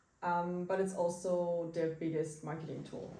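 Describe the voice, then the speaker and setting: A woman speaks in a fairly low voice, with audible echo from the room. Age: 20s. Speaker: marketing entrepreneur, digital nomad. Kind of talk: interview. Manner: halting.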